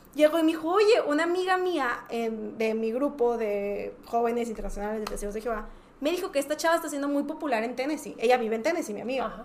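Lively intonation comes through at a very fast pace over noticeable background noise. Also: woman. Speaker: podcast guest, music fan. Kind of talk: casual chat.

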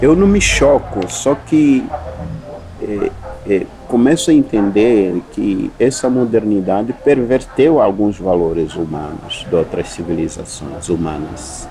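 A man speaks at a very slow pace with very wide pitch swings. Noticeable background noise runs underneath. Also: medium pitch for a man. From Mozambique, Zambezi valley. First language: Sena (Chisena) (speaking Portuguese). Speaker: university professor. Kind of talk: interview conversation.

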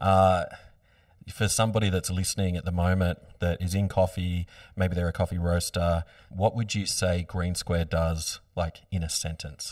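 On a very clean recording with a silent background, a man with an Australian accent speaks at a moderate pace in a very deep, low pitch with monotone, flat intonation. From Australia, Byron Bay area. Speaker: podcast host. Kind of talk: casual interview. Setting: studio.

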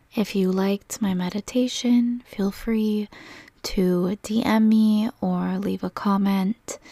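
A woman's dark, mellow, somewhat breathy voice at a medium pitch, with a soothing, calm tone, monotone and flat intonation, a very slow pace and a dry, close sound with no echo. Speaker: meditation guide and energy healer. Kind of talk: guided meditation. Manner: slow, soothing, calm and gentle with long pauses; soft-spoken, reassuring and warm.

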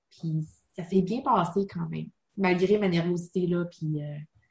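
A woman's fairly low, fairly even, somewhat breathy voice. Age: 30s. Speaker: online college student. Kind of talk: interview.

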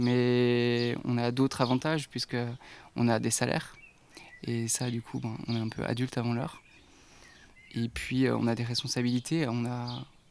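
Speaking in a flat monotone at a medium pitch, a man goes at a fairly slow pace with long, frequent pauses. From Haute-Savoie, France (near Geneva). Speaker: independent watchmaker. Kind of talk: casual interview. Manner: hesitant, many fillers.

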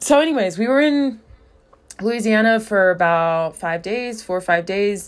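Speaking at a fairly slow pace with long, frequent pauses, a woman with a fairly high pitch uses an animated tone and lively intonation. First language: English (also speaks Portuguese). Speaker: podcast host and social media influencer. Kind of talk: casual solo vlog-style chat. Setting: recorded at home during morning routine. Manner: animated, chatty with frequent laughs.

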